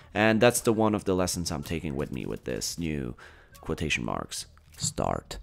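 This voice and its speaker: A man with a Bosnian accent at a very deep, low pitch, with very wide pitch swings, a moderate pace and music in the background. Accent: non-native, Bosnian. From Bosnia and Herzegovina. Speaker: gaming YouTuber and actor. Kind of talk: video game commentary vlog.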